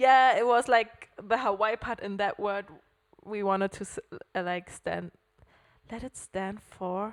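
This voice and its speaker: A woman with a German accent at a fairly slow pace, with long, frequent pauses and fairly even intonation. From Germany, Hamburg. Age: 20s. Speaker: podcast co-host. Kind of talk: casual chat.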